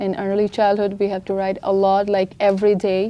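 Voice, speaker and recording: A woman with a non-native accent, medium in pitch and dark, mellow in tone. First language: not English. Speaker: international student. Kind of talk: press conference answers.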